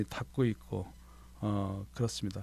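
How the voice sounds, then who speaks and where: Fairly slow and fairly even in intonation, a man speaks. His tone is dark and mellow. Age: 60s. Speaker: retiring firefighter, fire department administrator. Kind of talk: radio interview. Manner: hesitant, many fillers.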